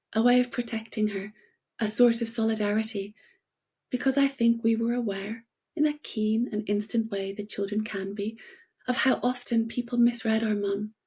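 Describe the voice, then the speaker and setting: A woman with an English accent speaks at a moderate pace, her fairly high pitch paired with a dark, mellow tone. She sounds somewhat breathy, with monotone, flat intonation, on a very clean recording with a silent background. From Northern Ireland, Belfast. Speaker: playwright and novelist. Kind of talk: reading aloud a prepared essay. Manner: formal.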